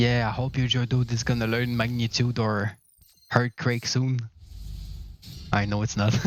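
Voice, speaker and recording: With a Quebec accent, a man speaks at a medium pitch and moderate pace, his intonation monotone and flat, with long, frequent pauses. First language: French. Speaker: gaming streamer. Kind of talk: live gaming stream chat.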